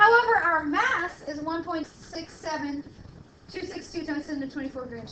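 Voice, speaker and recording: The voice is raised and projected, with a bright, sharp tone. Room echo can be heard. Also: woman. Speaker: chemistry lecturer. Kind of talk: lecture. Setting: classroom with students. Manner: loud.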